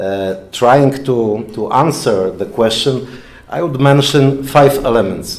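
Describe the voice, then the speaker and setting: A man with a Polish accent speaks at a medium pitch and a very slow pace, with ordinary pitch variation. Noticeable background noise and audible room echo are present. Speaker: lecturer, former diplomat and journalist. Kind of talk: lecture. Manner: halting.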